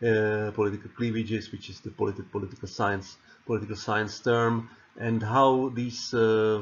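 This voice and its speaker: Monotone and flat, a man with a Czech accent speaks at a moderate pace and a fairly low pitch. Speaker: political science lecturer. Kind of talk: lecture. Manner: halting, many repetitions and fillers.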